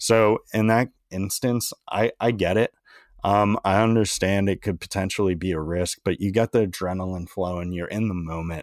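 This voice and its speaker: In a very clean recording with a silent background and a dry, close sound with no echo, a man with an American accent uses a normal speaking voice, fairly low in pitch, at a moderate pace with fairly even intonation. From Maryland, between Baltimore and DC. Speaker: former college baseball pitcher, podcast host. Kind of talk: casual chat.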